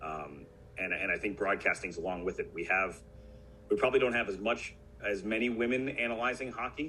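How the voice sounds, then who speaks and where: With a bright, sharp tone and vocal fry, a man talks at a fairly quick pace using lively intonation. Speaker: hockey broadcaster. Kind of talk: interview answer. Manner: conversational, many fillers.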